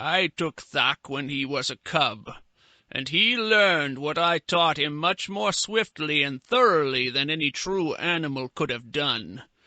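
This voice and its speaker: A man speaks in a put-on character voice, fairly high-pitched, with lively intonation at a fairly slow pace. The sound is dry and close with no echo, and the background is quiet. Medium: read story. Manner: measured, erudite.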